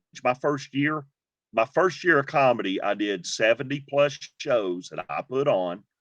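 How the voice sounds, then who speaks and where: A man with a Southern US accent talks at a fairly slow pace with lively intonation, and the sound is dry and close with no echo. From Georgia. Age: 50s. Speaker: comedian, former pastor. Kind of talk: interview answer. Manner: upbeat.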